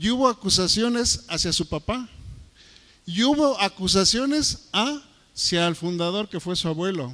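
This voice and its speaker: With a bright, sharp tone and lively intonation, a man speaks high for his sex at a fairly slow pace. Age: 60s. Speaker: preacher. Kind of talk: sermon.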